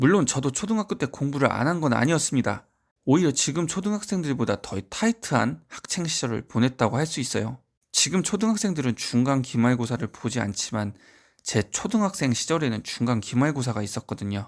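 On a very clean recording with a silent background, a man talks at a fairly quick pace. His medium pitch rises and falls in very wide swings. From rural provincial South Korea. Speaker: private academy tutor and education YouTuber. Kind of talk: scripted talk to camera. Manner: formal.

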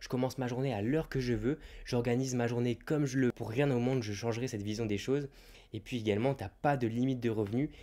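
Very fast and dark, mellow in tone, a man speaks at a medium pitch with fairly even intonation. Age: 20s. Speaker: YouTuber and online reseller; YouTuber, online reseller. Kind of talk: YouTube advice monologue. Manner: casual, direct address. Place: home room. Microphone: handheld.

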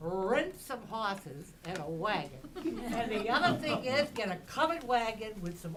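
A woman talks fairly slowly at a medium pitch with very wide pitch swings. The room echo is audible, and there is noticeable background noise. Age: 80s+. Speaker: local resident speaking at public hearing. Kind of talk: public comment at town hearing. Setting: town hall meeting room. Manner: animated.

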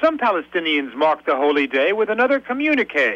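This man talks at a fairly quick pace with very wide pitch swings. His sound is dry, with no echo. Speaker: news correspondent. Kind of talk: radio news report.

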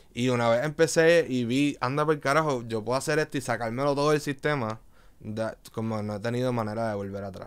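A man talks at a fairly quick pace with ordinary pitch variation. He has a Puerto Rican accent. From Puerto Rico, Río Piedras; Puerto Rico. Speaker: visual artist and DJ; podcast guest. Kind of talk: casual interview chat. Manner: halting, many fillers. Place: studio. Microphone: studio mic.

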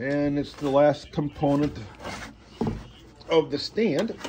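Fairly slow speech from a man against noticeable background noise. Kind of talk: casual unboxing commentary. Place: home room. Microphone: phone near.

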